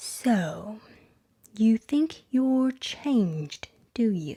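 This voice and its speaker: A woman's put-on character voice, fairly high in pitch, with very wide pitch swings at a very slow pace. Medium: read story. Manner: terse, stern.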